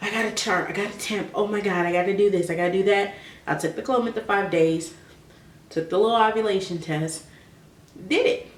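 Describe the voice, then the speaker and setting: Soft-spoken and talking at a fairly quick pace, a woman is heard over noticeable background noise with audible room echo. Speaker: vlogger. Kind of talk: personal advice vlog.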